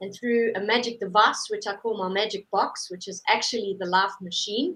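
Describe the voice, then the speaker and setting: A woman with a medium pitch speaks in a South African accent. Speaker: holistic therapist. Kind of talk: interview.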